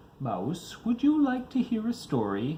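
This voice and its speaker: The put-on character voice has a gentle tone and moves at a moderate pace. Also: man, high pitch for a man. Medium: read story. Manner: gentle, slow.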